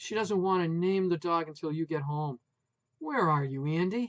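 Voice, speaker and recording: A put-on character voice speaks at a moderate pace. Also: man, high pitch for a man. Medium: read story. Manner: loud, emotional.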